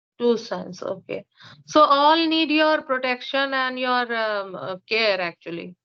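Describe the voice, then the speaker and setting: Speaking with an Indian accent, the voice moves at a fairly slow pace. The intonation is lively. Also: woman, high pitch for a woman. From India, Uttar Pradesh. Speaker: English teacher. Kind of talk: casual conversation practice. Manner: halting, many fillers.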